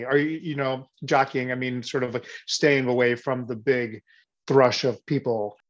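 A man with an American accent talks at a fairly slow pace in a plain, everyday voice. His pitch is medium, with fairly even intonation. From Missouri, US. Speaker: performer and director. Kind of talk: casual Q&A chat.

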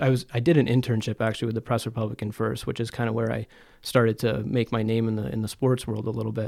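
In an upstate New York accent, a man speaks at medium pitch with monotone, flat intonation on a very clean recording with a silent background. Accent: upstate New York American. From North Country, upstate New York (Plattsburgh). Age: 20s. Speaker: communications manager and sports photographer. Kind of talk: casual interview.

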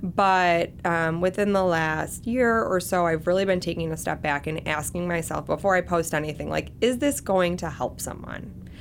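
Hardly pausing, a woman with an American accent speaks at a moderate pace and fairly low pitch, with ordinary pitch variation. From Michigan, US. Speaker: marketer and lifestyle blogger. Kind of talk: interview.

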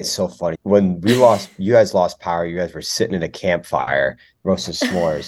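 A man with an American accent speaks in a very deep, low voice. His pace is moderate. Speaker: college student guest host. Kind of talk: casual chat.

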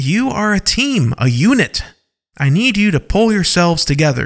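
A man's put-on character voice, high-pitched, with big pitch swings and a fairly slow pace

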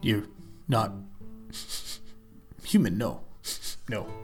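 Clear music plays in the background. A man uses a put-on character voice at a medium pitch. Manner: blunt, broken speech.

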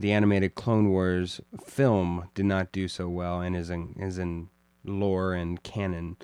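A man speaks in an ordinary speaking voice. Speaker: podcast host. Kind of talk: casual chat about films.

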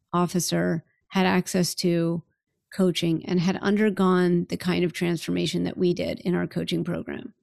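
In a plain, everyday voice, the speaker keeps a moderate pace and fairly even intonation, recorded very cleanly against a silent background with a dry, close sound and no echo. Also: woman. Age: 50s. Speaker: life leadership coach and podcast host. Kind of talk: interview as guest, casual conversation. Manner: laughs often.

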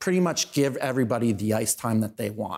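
The recording is very clean, with a silent background. A man of medium pitch speaks with lively intonation. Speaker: town councillor and local show host. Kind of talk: casual interview chat. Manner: loud, opinionated.

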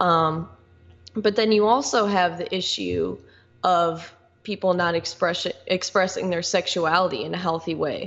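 A woman's fairly low-pitched voice with vocal fry and an American accent, at a fairly slow pace with ordinary pitch variation. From northwest Indiana, US Midwest. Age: 20s. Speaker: local activist. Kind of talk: casual chat.

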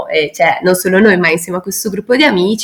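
This woman's voice sits at a medium pitch, and its pitch variation is ordinary. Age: 30s. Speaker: educator living in an ecovillage. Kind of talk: interview. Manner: hesitant, many fillers.

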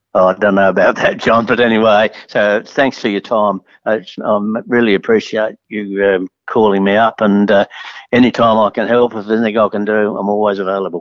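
A man with an Australian accent, fairly low pitch, a fairly quick pace and monotone, flat intonation. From Adelaide, South Australia. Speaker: racehorse trainer. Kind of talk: interview. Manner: halting.

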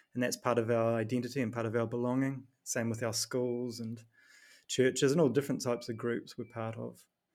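A man with a New Zealand accent, fairly quick, in a monotone, flat delivery. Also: medium pitch for a man. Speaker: performance coach and author. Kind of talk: podcast interview.

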